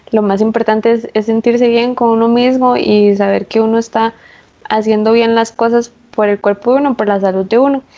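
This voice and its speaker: A woman's fairly high voice, monotone and flat in intonation, with very even loudness. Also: moderate pace. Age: 20s. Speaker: pregnant forestry engineer. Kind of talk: casual interview.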